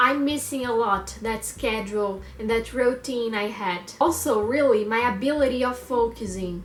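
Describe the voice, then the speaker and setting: A woman with a Brazilian accent talks at a high pitch and a fairly slow pace with ordinary pitch variation, amid audible room echo and noticeable background noise. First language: Portuguese. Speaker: language learner vlogger. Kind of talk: personal monologue vlog. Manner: halting, with fillers.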